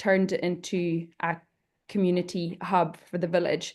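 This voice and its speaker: A woman's medium-pitched voice with a Hebridean accent, flat and monotone, at a moderate pace against a quiet background. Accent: Hebridean Scottish. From Isle of Lewis, Scotland. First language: Scottish Gaelic. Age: 20s. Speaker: panelist, community worker. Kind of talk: panel presentation.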